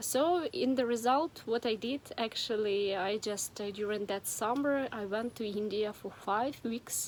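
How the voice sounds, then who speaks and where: A woman's fairly high voice with a Ukrainian accent, at a fairly slow pace. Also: ordinary pitch variation, hardly any pauses. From Ukraine. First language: Ukrainian or Russian. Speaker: vlogger. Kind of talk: personal story vlog. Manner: hesitant, with many fillers.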